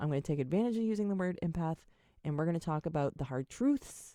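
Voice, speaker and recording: Recorded very cleanly against a silent background, a woman's very deep, low voice has a dark, mellow tone and ordinary pitch variation, with a dry, close sound and no echo. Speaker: podcast host, psychic medium. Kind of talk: casual solo podcast monologue. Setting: home, webcam recording. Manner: halting, stammering.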